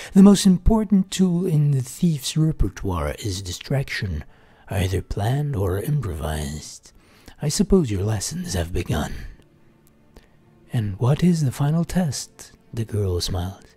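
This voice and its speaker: At a fairly slow pace, a man speaks in a medium pitch with a dark, mellow tone, a somewhat breathy quality and very wide pitch swings. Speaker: gaming streamer. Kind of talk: reading aloud. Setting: live stream.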